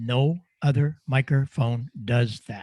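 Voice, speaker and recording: A somewhat breathy man's voice at a medium pitch. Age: 80s+. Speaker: microphone designer and ham radio presenter. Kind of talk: Q&A in online club meeting.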